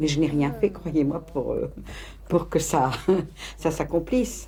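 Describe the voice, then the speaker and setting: A woman with a very deep, low pitch and vocal fry speaks at a fairly slow pace with ordinary pitch variation. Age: 60s. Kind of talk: documentary interview. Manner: halting.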